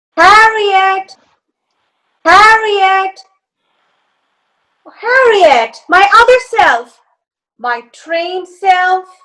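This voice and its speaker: A woman uses a put-on character voice, squeaky and extremely high in pitch, with lively intonation. She speaks at a very slow pace with long, frequent pauses. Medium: stage play. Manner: emotional, impassioned.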